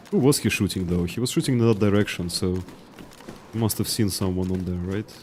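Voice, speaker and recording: A man with a strong Russian accent talks at a fairly quick pace and a fairly low pitch, with ordinary pitch variation. Noticeable background noise can be heard. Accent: heavy Russian. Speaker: video game streamer. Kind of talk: live gameplay commentary with chat. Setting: live stream, reading chat.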